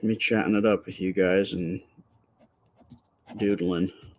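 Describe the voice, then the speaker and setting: Soft-spoken and fairly low-pitched, a man talks with fairly even intonation. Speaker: livestreaming artist. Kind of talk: casual chat. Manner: halting. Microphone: close to the microphone.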